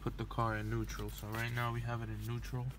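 A man talks at a moderate pace. The sound is dry with no echo, but the background noise is loud. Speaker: car flipper vlogger. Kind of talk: casual vlog chat and tutorial. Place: street. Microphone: phone near.

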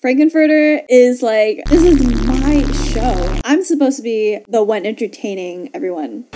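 Against music in the background, a woman talks at a moderate pace with lively intonation and a high pitch. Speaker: movie reaction host. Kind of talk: casual reaction commentary. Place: home room.

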